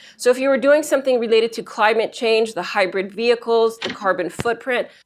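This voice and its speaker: Pitch moves in an ordinary range. The delivery is fairly quick. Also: woman. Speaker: librarian. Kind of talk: library instruction presentation to a class. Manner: fast.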